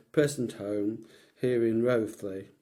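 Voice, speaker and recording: A man speaks very slowly in an East Midlands accent. His medium-pitched voice has a dark, mellow tone. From Leicestershire, England. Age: 70s. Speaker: retired businessman recalling his life. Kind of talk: oral history interview. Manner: halting, with frequent repetitions.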